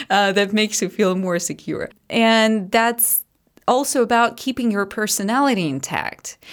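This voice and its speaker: In a Russian accent, a woman speaks at a moderate pace and fairly high pitch with ordinary pitch variation, in a very clean recording with a silent background. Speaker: English teacher and methodologist. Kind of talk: casual interview chat.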